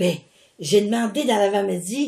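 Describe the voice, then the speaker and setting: A woman's somewhat breathy voice has a dark, mellow tone and lively intonation. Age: 80s+. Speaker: religious mission founder. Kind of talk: casual chat. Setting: at home. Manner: animated.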